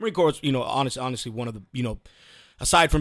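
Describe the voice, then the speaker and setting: The recording is very clean, with a silent background. A man with a Texan accent speaks at a medium pitch. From Texas, Houston. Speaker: Marine veteran and remodeling contractor. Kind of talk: casual interview.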